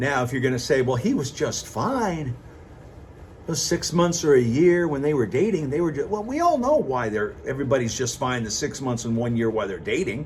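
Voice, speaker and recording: Lively intonation carries the speech at a moderate pace, with audible room echo. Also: man. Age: 60s. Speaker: vlogger. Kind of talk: casual monologue.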